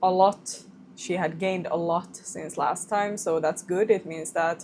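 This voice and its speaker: In a Swedish accent, a woman speaks with fairly even intonation. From Finland, Swedish-speaking minority. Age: 20s. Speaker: vlogger, new mother. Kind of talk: casual vlog chat. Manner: halting, self-correcting.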